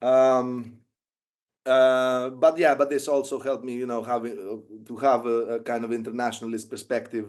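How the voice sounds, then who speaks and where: A man with a Greek accent, flat and monotone in intonation. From Greece. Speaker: documentary filmmaker and former volunteer soldier. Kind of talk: interview. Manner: halting, many fillers.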